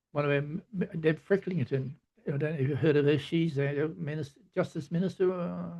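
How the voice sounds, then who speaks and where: At a fairly quick pace, a somewhat breathy man speaks with fairly high pitch and ordinary pitch variation. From Queensland, Australia. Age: 80s+. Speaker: artist and former headmaster. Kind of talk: interview.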